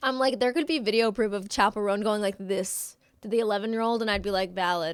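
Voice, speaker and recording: In a very clean recording with a silent background, a woman speaks in an animated tone at a very fast pace, at a medium pitch with ordinary variation. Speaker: streamer. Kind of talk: casual chat. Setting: live stream.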